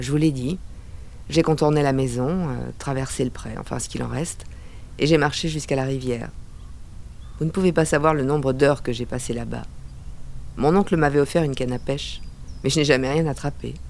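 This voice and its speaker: A woman with a very deep, low pitch and vocal fry speaks at a fairly quick pace with fairly even intonation. Her pauses are long and frequent. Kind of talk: noir first-person narration. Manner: terse, hard-boiled.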